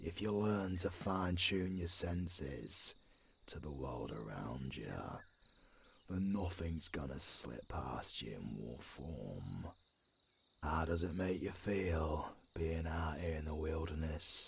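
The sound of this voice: In a put-on character voice, a man speaks slowly at an extremely low pitch, with vocal fry and lively intonation.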